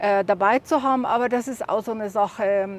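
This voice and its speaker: Ordinary pitch variation at a moderate pace. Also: woman. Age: 60s. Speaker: solo overland traveler. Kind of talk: casual tour of her vehicle. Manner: halting, many fillers.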